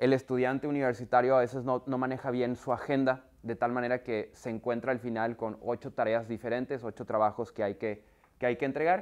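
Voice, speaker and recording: Against a quiet background, the voice moves at a fairly quick pace with hardly any pauses and fairly even intonation. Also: man. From northern Mexico, Monterrey. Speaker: software company trainer for universities. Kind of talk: workshop presentation. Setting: video call with screen share. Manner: conversational, many fillers. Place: classroom. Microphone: lapel.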